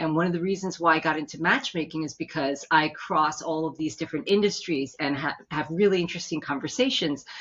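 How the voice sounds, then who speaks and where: A woman speaks very fast in a New York accent, her pitch very deep and low. Her tone is animated. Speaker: matchmaker and business consultant. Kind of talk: interview.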